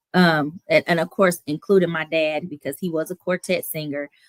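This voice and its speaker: A woman speaks at a very deep, low pitch and a moderate pace with fairly even intonation. The sound is dry and close, with no echo. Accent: slight Southern US. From Toledo, Ohio; raised mostly in Houston, Texas. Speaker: playwright and singer. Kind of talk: interview.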